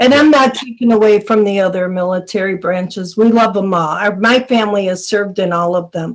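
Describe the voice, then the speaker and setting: The woman speaks at a fairly quick pace in an unremarkable speaking voice. Her pitch is medium and varies in an ordinary way. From Buffalo, New York. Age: 60s. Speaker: army veteran. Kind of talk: podcast interview. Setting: podcast recording.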